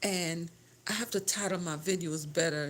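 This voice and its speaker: A woman speaks at a fairly slow pace in a fairly low pitch. Her pitch varies an ordinary amount. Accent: Caribbean. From Grenada. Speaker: home decor and lifestyle vlogger. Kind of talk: casual livestream chat. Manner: halting, with self-corrections.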